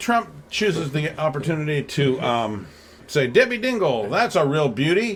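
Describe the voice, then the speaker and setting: A somewhat breathy voice at a moderate pace, with very wide pitch swings. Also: man, fairly high pitch for a man. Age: 60s. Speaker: political podcast co-host and blogger. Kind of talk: casual political discussion. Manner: halting, many repetitions and fillers.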